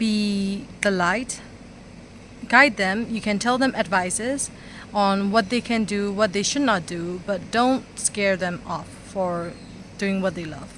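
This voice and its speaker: A woman with a non-native accent speaks very slowly in a medium-pitched voice with ordinary pitch variation. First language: not English. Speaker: vlogger. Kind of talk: motivational talk to camera. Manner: halting, stuttering.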